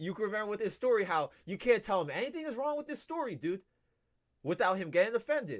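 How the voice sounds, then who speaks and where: The speaker's tone is animated. The pitch swings very widely. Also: man. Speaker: livestreamer. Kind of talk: casual livestream chat. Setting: livestream. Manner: loud, projecting voice.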